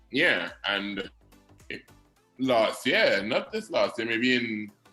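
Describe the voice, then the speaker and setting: Music plays in the background as a man speaks. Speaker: radio personality and announcer. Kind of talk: interview answer.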